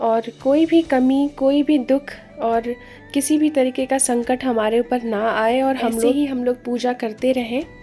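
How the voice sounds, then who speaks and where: With music in the background, a woman speaks slowly in a high pitch, her intonation fairly even. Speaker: vlogger. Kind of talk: vlog voice-over.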